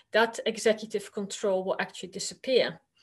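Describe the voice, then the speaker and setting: A woman speaks with a Dutch accent in a fairly high voice. She keeps a moderate pace against a quiet background. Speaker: university lecturer. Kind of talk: conference presentation. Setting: virtual conference.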